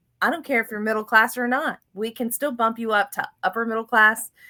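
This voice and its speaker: A woman's fairly high, bright, sharp voice with a Southern US accent, in a very clean recording over a silent background. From US South, Florida. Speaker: financial podcast host. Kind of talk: casual interview chat. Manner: animated.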